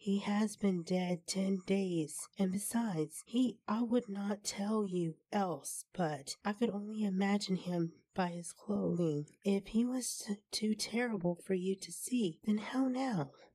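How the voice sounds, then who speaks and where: Using a put-on character voice, a woman speaks in a shaky way at a medium pitch. The pace is fairly slow. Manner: shaky, faltering.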